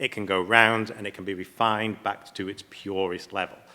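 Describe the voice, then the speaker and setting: A man with an English accent speaks in a fairly low pitch with a bright, sharp tone. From England. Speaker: platinum refining company representative. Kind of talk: panel presentation.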